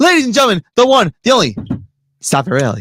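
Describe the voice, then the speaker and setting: The speech runs at a very fast pace. The sound is dry and close, with no echo. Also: man. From New Jersey. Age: 20s. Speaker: co-host. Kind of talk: live show introduction.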